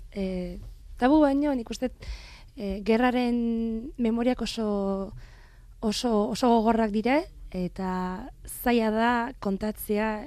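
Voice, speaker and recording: Against a quiet background, a woman with a fairly high pitch and a dark, mellow tone speaks with ordinary pitch variation. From France, Marseille. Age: 20s. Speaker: translator. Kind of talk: interview. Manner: halting.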